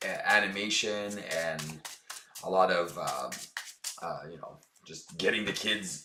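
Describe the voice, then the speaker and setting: Heard with audible room echo, a man speaks at a fairly slow pace. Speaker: board game streamer. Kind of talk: gameplay commentary. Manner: casual, with many fillers.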